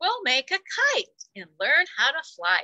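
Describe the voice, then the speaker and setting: A put-on character voice moves at a fairly slow pace with big swings in loudness, and the sound is dry and close with no echo. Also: woman, extremely high pitch for a woman. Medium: read story. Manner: warm, kindly.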